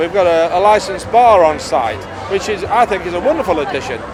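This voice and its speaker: A man's high voice at a fairly quick pace with ordinary pitch variation, music playing in the background. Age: 60s. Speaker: fairground showman. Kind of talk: documentary interview.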